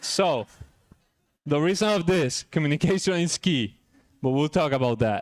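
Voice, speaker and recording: A man with a strong Puerto Rican accent speaks at a moderate pace in a fairly high voice, with lively intonation, very even loudness and long, frequent pauses. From Puerto Rico (San Juan). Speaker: chiropractor. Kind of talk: talk at a luncheon.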